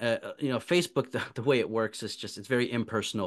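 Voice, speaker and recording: Lively intonation in an ordinary speaking voice, a man's, medium in pitch. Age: young. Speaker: podcast host and guest. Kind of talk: conversational interview.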